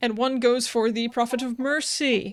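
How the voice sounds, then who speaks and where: Speaking fairly slowly, a woman uses a high pitch. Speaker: podcast host. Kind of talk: casual chat.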